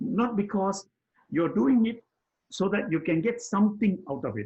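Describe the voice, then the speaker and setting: This man has a high pitch and a dark, mellow tone, speaking at a moderate pace with ordinary pitch variation. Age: 80s+. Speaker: personal development mentor. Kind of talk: conversational discussion. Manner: halting, with repetitions.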